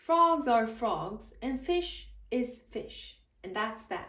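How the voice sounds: A woman does a put-on character voice at a slow pace, fairly high-pitched with a bright, sharp tone and big pitch swings, and the room echo is audible.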